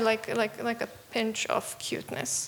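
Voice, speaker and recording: A woman speaks at a fairly slow pace in a Serbian accent. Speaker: young game developer presenting a student project. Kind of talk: Q&A after a pitch presentation. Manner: halting, many fillers.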